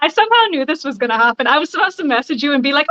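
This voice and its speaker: A woman's raised, projected voice, very fast, with very wide pitch swings, a bright, sharp tone, and a dry, close sound with no echo. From Bahamas. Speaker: cosplayer. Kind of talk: casual chat.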